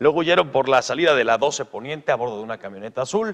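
A man talks fairly quickly in a normal speaking voice. His fairly high pitch carries lively intonation. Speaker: news anchor. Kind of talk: television news report.

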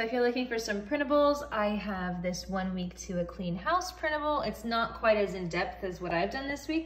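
A woman speaks at a moderate pace and medium pitch, her intonation lively. Audible room echo surrounds the voice.

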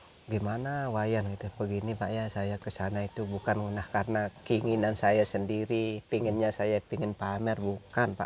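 With light background noise and a dry sound with no echo, a man at a fairly low pitch speaks at a moderate pace in a flat monotone, with hardly any pauses. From Bali, Karangasem; Bali. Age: 40s. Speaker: farmer and village leader. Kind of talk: interview. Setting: outdoors. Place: open country.

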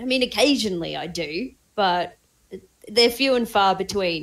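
Speaking in an Australian accent, a woman uses lively intonation. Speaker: cryptocurrency trader. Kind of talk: casual chat.

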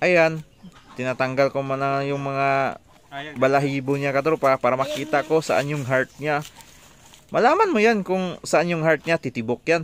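A man at a fairly slow pace with ordinary pitch variation, dry sound with no echo, and light background noise. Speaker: home cooking vlogger. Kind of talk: casual vlog chat. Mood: joking, playful.

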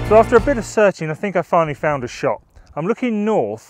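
A man at a fairly quick pace with lively intonation, dry with no echo, music in the background. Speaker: photography vlogger. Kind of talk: casual vlog chat. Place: open country. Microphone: phone near.

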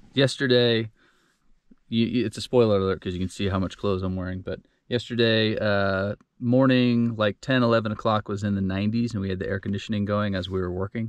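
Against a quiet background, a man talks at a fairly quick pace with a fairly low pitch and fairly even intonation. The sound is dry, with no echo. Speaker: travel vlogger. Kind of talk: casual vlog chat. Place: home room. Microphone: phone near.

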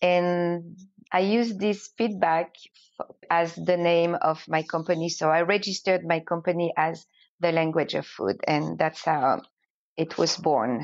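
Fairly low, fairly even-toned woman's voice with a French accent at a fairly slow pace. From France, French Alps. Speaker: entrepreneur and language teacher. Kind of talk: interview.

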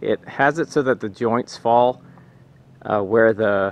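A man's voice with ordinary pitch variation comes through as a dry sound with no echo. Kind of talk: tutorial. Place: open country. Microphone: phone near.

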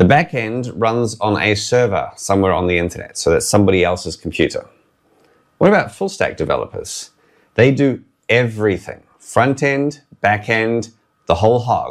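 The intonation is lively and the pace moderate. The background is quiet. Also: man. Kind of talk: tutorial. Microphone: lapel.

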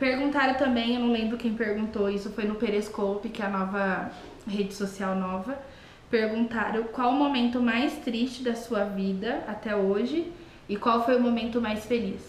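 Fairly even intonation comes through audible room echo and light background noise. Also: woman, moderate pace. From Brazil. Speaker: YouTuber. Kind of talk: casual chat. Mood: warm, cheerful. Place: kitchen. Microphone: webcam.

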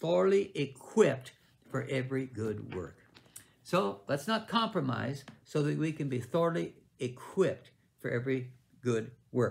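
This man's pitch swings very widely, with vocal fry. He leaves long, frequent pauses. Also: moderate pace. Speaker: bible teacher. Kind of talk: sermon. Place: home room. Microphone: webcam.

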